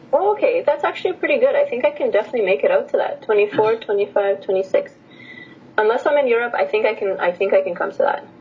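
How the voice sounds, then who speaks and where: A woman with a Canadian accent at a very fast pace, over noticeable background noise. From Edmonton, Canada (born in Romania). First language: Romanian. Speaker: language teacher and PhD student. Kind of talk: casual chat.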